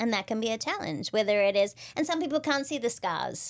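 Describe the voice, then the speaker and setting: A fairly quick pace in an Australian accent. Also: woman. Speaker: leadership and client experience speaker. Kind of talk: podcast interview.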